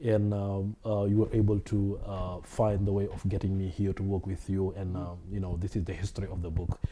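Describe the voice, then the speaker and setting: Fairly low in pitch, a man speaks with a dark, mellow tone that is somewhat breathy. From Senegal. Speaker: Islamic studies scholar. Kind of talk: interview.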